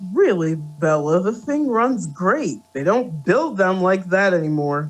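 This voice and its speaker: A man puts on a gruff character voice, pitched high and swinging very widely up and down. He speaks at a fairly slow pace as music plays in the background. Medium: read story. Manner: gruff, awkward, hesitant.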